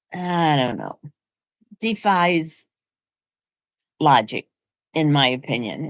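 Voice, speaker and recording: Very slow speech from a woman with lively intonation. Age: 80s+. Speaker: vlogger. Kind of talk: casual chat. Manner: conversational.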